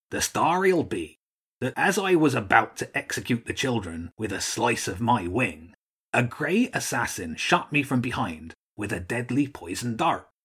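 Putting on a gruff character voice, a man speaks at medium pitch and a moderate pace. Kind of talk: children's audiobook character voice. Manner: gruff, blustering then cheery.

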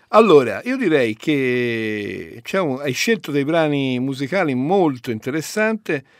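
With hardly any pauses, a man speaks at a very slow pace and very wide pitch swings in a very clean recording with a silent background. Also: fairly high pitch for a man. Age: 50s. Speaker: radio host. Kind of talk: radio talk show.

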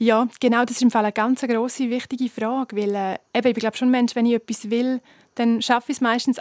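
Speaking at a fairly quick pace with monotone, flat intonation, a woman with a Graubünden accent and a high pitch is heard in a dry, close, echo-free, very clean recording with a silent background. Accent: Swiss German, Graubünden dialect. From Switzerland, Graubünden (Chur). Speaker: singer. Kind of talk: interview.

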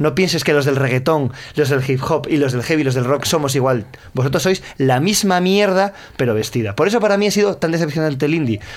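A man in a plain, everyday voice talks at a fairly quick pace with a fairly high pitch, lively intonation and very even loudness. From Asturias (Gijón), northern Spain. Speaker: musician and author. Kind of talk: interview chat.

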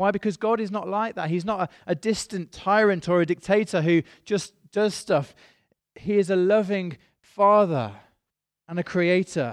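Speaking with a British accent, a man has a high pitch and ordinary pitch variation, recorded with a dry, close sound with no echo against a quiet background. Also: moderate pace. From Britain. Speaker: pastor. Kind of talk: sermon. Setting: church.

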